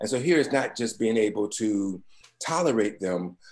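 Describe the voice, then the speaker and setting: The speaker is a man with a plain, everyday voice. His pitch is medium with ordinary variation, and he keeps a moderate pace. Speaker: webinar speaker on pastoral care. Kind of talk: webinar presentation.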